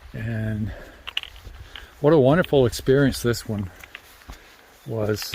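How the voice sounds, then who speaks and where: A man with a mid-range pitch that shifts in a normal way speaks rather slowly, with clear background noise around him. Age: 70s. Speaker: long-distance hiker and vlogger. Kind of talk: casual vlog chat. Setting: outdoors on a hiking trail.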